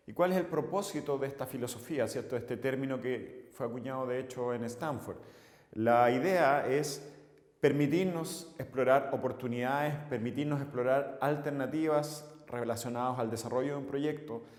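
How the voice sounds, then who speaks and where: Audible room echo around a man's fairly even, medium-pitched voice at a moderate pace. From Chile. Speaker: civil engineer and course instructor. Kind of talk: lecture. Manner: halting, frequent filler 'eh'.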